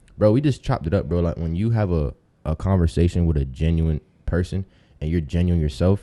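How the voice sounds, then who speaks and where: A man's very deep, low voice with a dark, mellow tone and an American accent, at a fairly quick pace with ordinary pitch variation, against a quiet background. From Tampa, Florida, US. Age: 20s. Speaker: rapper.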